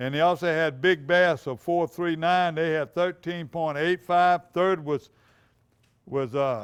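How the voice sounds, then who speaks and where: The recording is very clean, with a silent background. A man with a Louisiana accent speaks fairly slowly in a high voice. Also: ordinary pitch variation. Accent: Louisiana Southern. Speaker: outdoors TV show host. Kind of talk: reading tournament results. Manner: halting.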